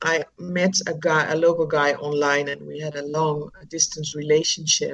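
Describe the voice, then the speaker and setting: With a Dutch accent, a woman speaks at a very deep, low pitch in monotone, flat intonation, with hardly any pauses and big swings in loudness. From Netherlands. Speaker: charity founder working with children. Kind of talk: interview. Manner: hesitant, many fillers.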